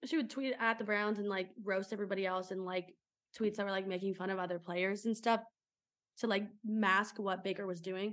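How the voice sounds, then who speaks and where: Speaking at a fairly quick pace with an American accent, a woman has an unremarkable speaking voice at medium pitch. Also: fairly even intonation. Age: 20s. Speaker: sports podcast co-host. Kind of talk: casual chat.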